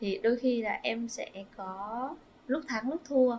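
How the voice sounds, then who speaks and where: This woman's voice sits fairly high. She talks at a fairly slow pace with ordinary pitch variation. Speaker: professional athlete. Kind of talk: casual interview.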